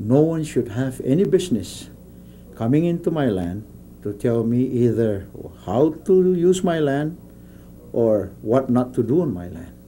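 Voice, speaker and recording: A man's lively intonation over light background noise. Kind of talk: interview answer. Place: office.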